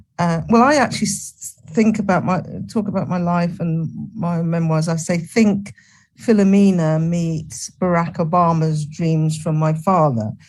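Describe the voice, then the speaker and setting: A somewhat breathy woman with an English accent, fairly low pitch and a fairly slow pace. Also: ordinary pitch variation. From England. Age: 70s. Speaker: retired nursing professor. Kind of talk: interview.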